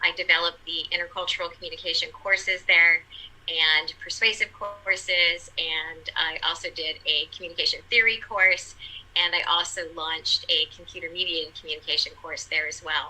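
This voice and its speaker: Over noticeable background noise, a woman speaks at a moderate pace, her loudness swinging widely. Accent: Californian. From California. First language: Portuguese. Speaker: college communication instructor. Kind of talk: panel discussion.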